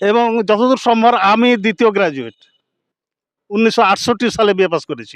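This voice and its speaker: This man's voice sits at a high pitch, with ordinary pitch variation. The sound is dry and close, with no echo. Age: 70s. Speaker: retired headmaster. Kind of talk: speech at a meeting.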